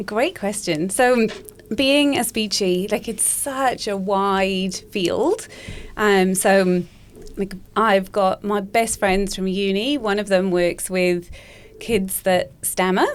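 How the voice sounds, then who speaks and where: At a very slow pace, this voice speaks with a slight Welsh accent and ordinary pitch variation. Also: woman, medium pitch for a woman. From Wales. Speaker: speech pathologist. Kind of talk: podcast interview.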